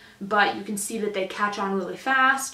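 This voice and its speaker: The room echo is audible. The woman keeps a moderate pace. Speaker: livestock showing instructor. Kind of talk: tutorial. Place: home room.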